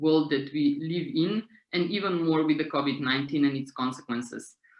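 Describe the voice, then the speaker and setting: A woman speaks with a Slovenian accent. Her pitch is very deep and low. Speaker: street theatre director and author. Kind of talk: seminar talk. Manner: halting.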